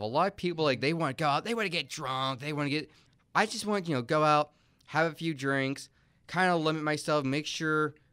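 Over a silent background in a very clean recording, a man with a plain, everyday voice talks fairly quickly at a fairly high pitch with lively intonation. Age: 20s. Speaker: college student. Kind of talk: casual chat. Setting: studio.

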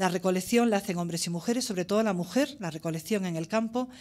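With lively intonation, a woman at a medium pitch talks at a very fast pace. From Spain, La Vera (Cáceres, Extremadura). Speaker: ethnologist. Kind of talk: conference talk. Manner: halting.

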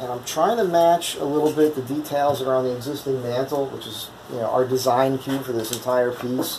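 Light background noise sits under the audio. A man talks at a moderate pace. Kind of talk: tutorial. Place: workshop.

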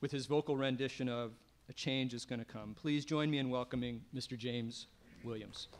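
Light background noise sits behind a man who talks at a moderate pace with fairly even intonation. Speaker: local politician acting as emcee. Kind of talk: ceremonial speech. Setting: stage with audience. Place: stage. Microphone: podium.

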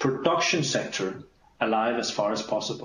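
Speaking with a Danish accent, a man uses lively intonation. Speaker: diplomat. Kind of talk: briefing presentation. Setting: video call. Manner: fast talker.

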